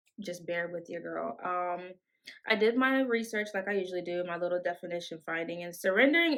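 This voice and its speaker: At a fairly quick pace, a woman talks with fairly low pitch and ordinary pitch variation. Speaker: podcast host. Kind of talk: faith podcast monologue. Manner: stumbling, self-correcting; conversational, casual.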